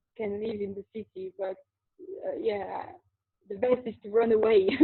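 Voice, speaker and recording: A woman with a French accent talks at a moderate pace in a fairly high pitch, her intonation fairly even but her loudness swinging widely. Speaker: qigong teacher and spiritual interviewee. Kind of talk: interview. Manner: halting, repeats words.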